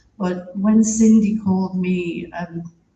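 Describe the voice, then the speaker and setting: A woman speaks with a British accent. Her intonation is monotone and flat. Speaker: theatre producer and writer. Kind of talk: eulogy.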